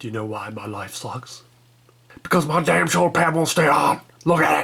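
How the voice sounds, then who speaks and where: Putting on a raspy character voice, a man makes very wide pitch swings. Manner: complaining, exasperated.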